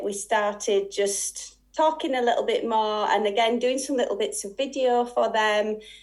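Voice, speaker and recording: A woman with a Yorkshire accent, fairly high in pitch, at a moderate pace with fairly even intonation. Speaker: sewing and quilting teacher. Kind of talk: interview. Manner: halting.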